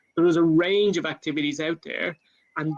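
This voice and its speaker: A man with an Irish accent and a high pitch, moderate in pace and monotone and flat in intonation, with a dry, close sound and no echo. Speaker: government climate official. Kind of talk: panel talk. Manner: halting, many fillers.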